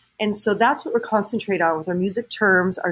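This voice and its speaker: A woman with an American accent, warm tone, fairly quick pace. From Southern California. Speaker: high school choir teacher; choir teacher. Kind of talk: recorded address to parents. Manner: warm, conversational with fillers. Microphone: webcam.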